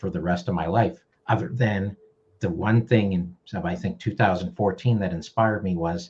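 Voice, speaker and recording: This man has a fairly low pitch and a somewhat breathy sound. His intonation is lively. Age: 60s. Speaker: video marketing educator. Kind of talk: casual interview.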